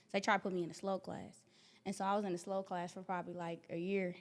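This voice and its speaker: In a very clean recording with a silent background, a woman with an American accent speaks very fast in a medium pitch, her intonation monotone and flat. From US Midwest (Wisconsin, Minnesota). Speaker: motivational speaker. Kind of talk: interview. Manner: casual.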